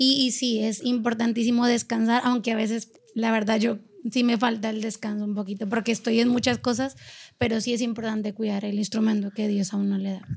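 Monotone and flat, a woman speaks in a fairly high, somewhat breathy voice at a fairly quick pace. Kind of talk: casual interview chat.

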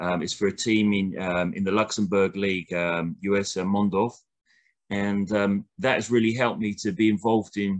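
Speaking at a moderate pace with a fairly low pitch and fairly even intonation, a man talks in a southern English accent against a quiet background. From southern England, near Brighton. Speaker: football coach. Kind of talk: interview. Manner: halting.

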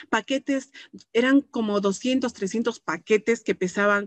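Speaking very slowly against a quiet background, a woman uses a fairly high-pitched voice. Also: dry, close sound with no echo. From Peru, Puno (Huancané), moved to Arequipa at 13. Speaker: network marketing distributor. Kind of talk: testimony.

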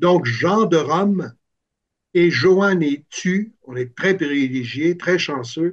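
Delivered at a very slow pace, the speech has ordinary pitch variation. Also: man. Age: 60s. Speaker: musician and music camp organizer. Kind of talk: interview. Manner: halting, many hesitations.

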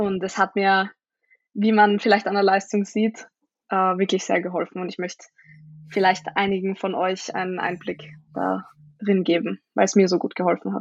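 This woman speaks at a moderate pace with a medium pitch and monotone, flat intonation. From Austria, Vienna. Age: 20s. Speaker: powerlifter. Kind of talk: casual chat.

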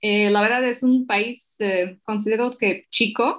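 Very slowly, a woman speaks with a fairly high pitch and ordinary pitch variation in a very clean recording with a silent background. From eastern Slovakia. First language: Slovak (speaking Spanish). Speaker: translator and digital marketer. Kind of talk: interview.

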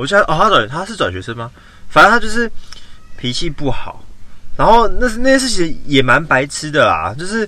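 A man speaks in a raised, projected voice at a fairly quick pace. His pitch is high, with very wide swings, and his loudness swings a lot too. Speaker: podcast co-host. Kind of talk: casual chat. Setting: in a car.

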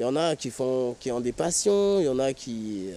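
Medium-pitched man's voice with a dark, mellow tone and lively intonation. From French Guiana, of Surinamese descent. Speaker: homeless man, former care worker. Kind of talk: interview. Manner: hesitant, with many fillers.

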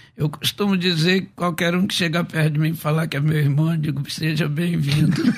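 A man with a fairly high pitch speaks at a fairly quick pace with hardly any pauses and monotone, flat intonation, over noticeable background noise. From Rio de Janeiro, Baixada Fluminense. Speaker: pastor and preacher. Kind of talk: testimony. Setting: radio studio.

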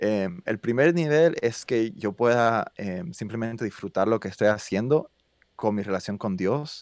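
A man with an ordinary speaking voice at medium pitch, ordinary pitch variation and a fairly slow pace, in a very clean recording with a silent background and a dry, close sound with no echo. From US South. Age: 30s. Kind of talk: casual chat.

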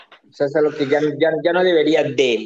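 At a moderate pace, a man with a fairly high pitch speaks in a plain, everyday voice. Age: 30s. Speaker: drag performer and marketer. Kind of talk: casual chat.

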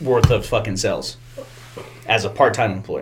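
Medium pitch from a somewhat breathy man. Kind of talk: casual chat. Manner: crude, joking banter.

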